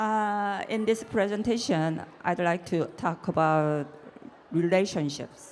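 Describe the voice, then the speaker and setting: A woman speaks with a Korean accent. Her pace is very slow. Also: medium pitch for a woman, ordinary pitch variation. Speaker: artist. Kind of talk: reading prepared notes.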